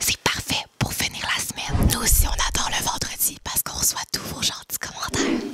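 Someone whispers at a fairly quick pace with hardly any pauses. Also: woman. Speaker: YouTube duo host. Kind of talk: ASMR reading of viewer comments. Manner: whispered. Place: home room. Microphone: studio mic.

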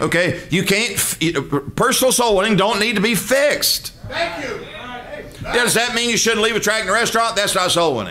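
A man with a Southern US accent uses a raised, projected voice that is high-pitched and animated in tone, speaking at a moderate pace with ordinary pitch variation over noticeable background noise. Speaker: preacher. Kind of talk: sermon. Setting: church. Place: church. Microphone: podium.

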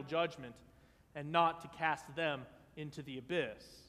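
Moderate pace and ordinary pitch variation from a man's voice. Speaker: vicar preaching a sermon in a Lutheran church. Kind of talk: church sermon. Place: church. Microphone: podium.

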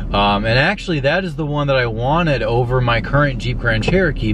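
A man's voice sounds dry with no echo, though noticeable background noise is present. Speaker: car vlogger. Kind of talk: casual vlog chat. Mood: relaxed, enthusiastic. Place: car. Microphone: phone near.

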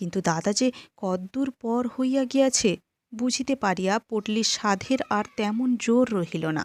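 Over a quiet background, a natural reading voice carries ordinary pitch variation.

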